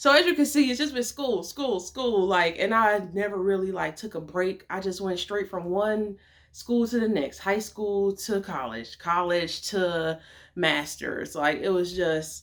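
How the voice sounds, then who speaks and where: Speaking at medium pitch, a woman has an animated tone and lively intonation. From Detroit, Michigan. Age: 20s. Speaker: vlogger and model. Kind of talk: casual vlog talk. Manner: fast.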